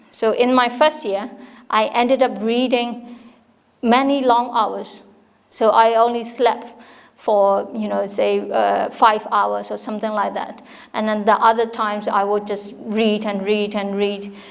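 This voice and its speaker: A woman speaks at a fairly high pitch with monotone, flat intonation, and room echo is audible. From Myanmar. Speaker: university dean. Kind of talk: informal talk to an audience. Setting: hall with live audience. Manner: halting, many fillers and restarts.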